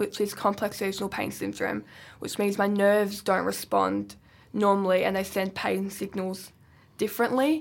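A very clean recording, silent in the background, of a voice with an Australian accent. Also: woman, moderate pace. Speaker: wheelchair football player. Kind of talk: casual chat. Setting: studio.

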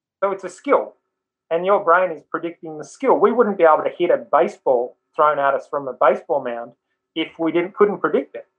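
In an Australian accent, a man with a high voice talks at a fairly quick pace with lively intonation. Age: 50s. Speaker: mindset coach, former rugby league player. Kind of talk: interview.

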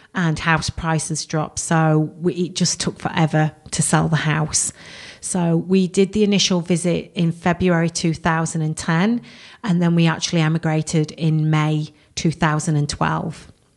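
A woman with a fairly low pitch speaks in a monotone, flat intonation, her loudness very even throughout. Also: moderate pace. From England. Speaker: immigrant and blogger. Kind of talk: radio interview, casual chat. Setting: studio. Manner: friendly, chatty, conversational.

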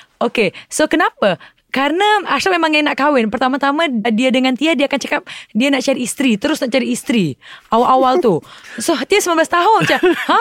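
A woman speaks with a high pitch and lively intonation at a fairly quick pace. Her loudness stays very even, and the sound is dry and close with no echo. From Indonesia, Palembang, Sumatra. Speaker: actress and businesswoman. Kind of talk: casual interview.

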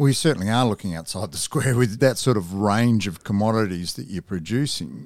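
A man with a plain, everyday voice and a fairly low pitch talks at a fairly quick pace with lively intonation and hardly any pauses, on a very clean recording with a silent background. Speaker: podcast interviewer. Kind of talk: interview. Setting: studio.

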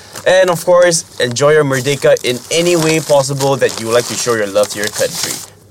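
The speaker sounds animated, moving at a fairly quick pace with hardly any pauses. Pitch varies in an ordinary way, and background noise is noticeable. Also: man, fairly high pitch for a man. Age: 20s. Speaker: podcast host; university student. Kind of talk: casual interview.

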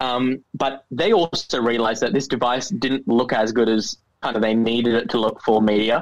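In an Australian accent, a man speaks at a moderate pace with hardly any pauses. His medium pitch shows ordinary variation, and his loudness stays very even. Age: 20s. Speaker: youth entrepreneur, social enterprise founder. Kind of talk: interview.

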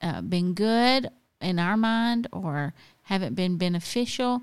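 A woman with a Southern US accent speaks very slowly, her intonation lively. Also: very clean recording, silent background. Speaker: podcast co-host. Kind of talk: casual chat. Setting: home garage studio.

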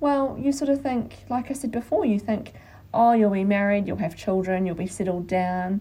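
A woman with an Australian accent, medium pitch, a dark, mellow tone, some breathiness, lively intonation and a moderate pace. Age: 30s. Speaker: podcast co-host. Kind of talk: casual chat.

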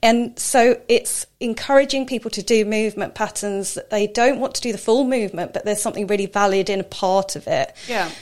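Speaking at a fairly quick pace with hardly any pauses, a woman with a southern English accent has a fairly high pitch and ordinary pitch variation. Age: 40s. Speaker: personal trainer. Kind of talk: casual interview.

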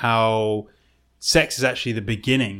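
The speaker goes at a fairly quick pace. It is a plain, everyday voice. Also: man. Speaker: podcast co-host guest. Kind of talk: casual chat.

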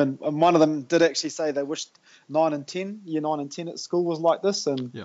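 A man talks at a very fast pace. He has a New Zealand accent. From New Zealand, Tauranga. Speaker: high school PE and health teacher. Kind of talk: casual interview. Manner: enthusiastic.

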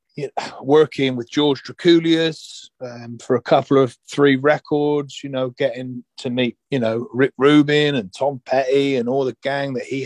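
A man with an ordinary speaking voice talks at a fairly slow pace and a fairly high pitch. His intonation stays fairly even over a quiet background. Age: 40s. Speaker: rock singer. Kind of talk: casual chat.

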